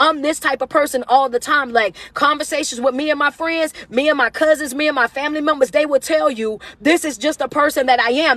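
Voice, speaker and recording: Loud and animated, a woman talks at a fairly quick pace in a high pitch with a bright, sharp tone, the sound dry and close with no echo. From US South. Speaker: motivational speaker. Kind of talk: live stream rant. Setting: social media livestream.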